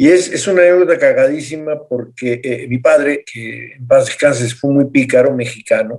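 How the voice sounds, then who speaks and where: A man speaks at a moderate pace, with big swings in loudness. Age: 50s. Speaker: doctor, panel guest. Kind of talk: panel discussion. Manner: playful, hesitant.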